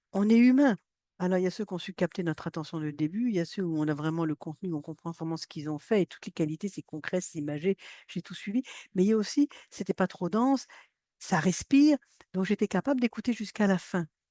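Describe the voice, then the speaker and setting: Against a quiet background, a woman talks very fast with lively intonation, her medium-pitched voice dark and mellow in tone, the sound dry and close with no echo. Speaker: science communication trainer. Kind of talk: workshop training. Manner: animated.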